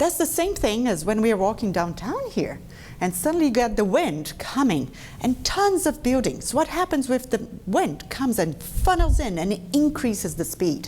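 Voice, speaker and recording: Pitch swings very widely as a woman speaks at a moderate pace in a fairly high voice. Her loudness stays very even over noticeable background noise. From Brazil. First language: Portuguese. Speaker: dentist. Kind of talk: lecture. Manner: conversational.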